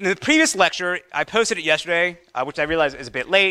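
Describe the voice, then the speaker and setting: At a fairly quick pace and high pitch, a man speaks with lively intonation and an animated, bright, sharp tone. The background is quiet. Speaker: professor. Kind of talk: lecture. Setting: stage with audience. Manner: fast talker. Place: classroom.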